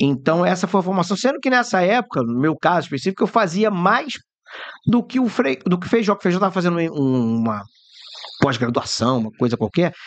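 A man talks at a fairly quick pace in an animated tone, his high pitch making very wide swings. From Rio de Janeiro, Brazil. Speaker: radio host and journalist. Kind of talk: casual chat.

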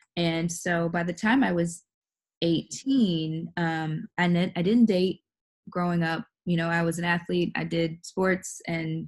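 A woman's voice, fairly low in pitch and somewhat breathy, holds a fairly even intonation. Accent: American. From Texas, Bastrop near Austin. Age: 30s. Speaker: podcast guest sharing life story. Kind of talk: personal testimony in interview.

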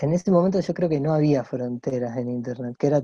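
An unremarkable speaking voice belongs to a man who talks at a fairly high pitch and a moderate pace. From Argentina, Santa Fe and Rosario. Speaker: illustrator. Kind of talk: casual interview chat. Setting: video call.

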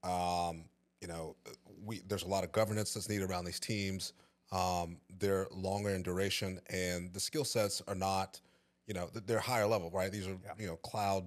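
A man with a Texan accent, a very deep, low pitch, and monotone, flat intonation, on a very clean recording with a silent background. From East Texas (Tyler). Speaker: IT staffing director. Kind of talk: casual chat. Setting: studio.

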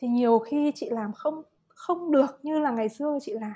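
A woman's high-pitched voice, dark and mellow in tone, with very wide pitch swings. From Vietnam. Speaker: psychological counselor. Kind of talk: casual chat.

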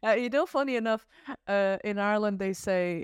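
A woman talks with a slight Irish accent and ordinary pitch variation. The sound is dry and close with no echo against a quiet background. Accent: slight Irish twang. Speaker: photographer and filmmaker. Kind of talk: casual interview.

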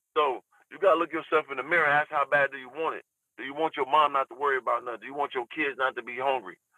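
Talking at a very fast pace, a man with a fairly high voice keeps his intonation fairly even while his loudness swings widely. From US West Coast, Southeast San Diego. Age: 30s. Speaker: influencer and YouTuber. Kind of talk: casual interview.

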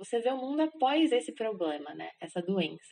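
Here a woman speaks at a moderate pace with a fairly high pitch. Her voice makes very wide pitch swings. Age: 20s. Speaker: architect, K-pop fan sharing personal story. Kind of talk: casual interview.

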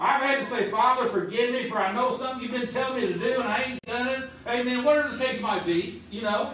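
Over noticeable background noise, someone with a Southern US accent talks very fast with hardly any pauses and fairly even intonation. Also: man, extremely high pitch for a man. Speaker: preacher. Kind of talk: sermon. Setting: church. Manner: fervent, call-and-response style.

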